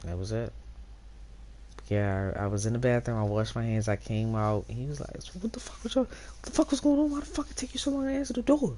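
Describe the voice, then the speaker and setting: Over noticeable background noise, a woman talks at a very fast pace with big swings in loudness. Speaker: streamer. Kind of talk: casual storytelling to stream chat.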